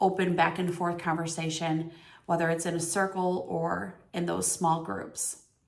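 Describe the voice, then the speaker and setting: Audible room echo surrounds a woman's fairly low voice, which keeps a fairly even intonation. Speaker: teacher. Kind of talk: reflection on reading aloud. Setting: recorded on camera.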